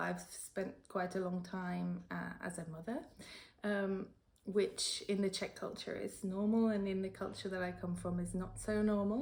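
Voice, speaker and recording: Talking fairly slowly, a woman speaks in a British accent. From United Kingdom. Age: 30s. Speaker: freelance translator and editor. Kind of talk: interview answer.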